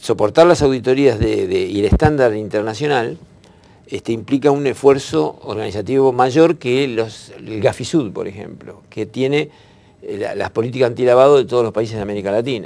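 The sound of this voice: A man's dark, mellow tone with vocal fry at a moderate pace.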